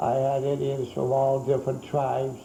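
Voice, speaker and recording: A man with an American accent speaks at a medium pitch and a moderate pace. Audible room echo surrounds his voice. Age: 80s+. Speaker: museum owner and collector. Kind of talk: guided museum tour interview. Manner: halting.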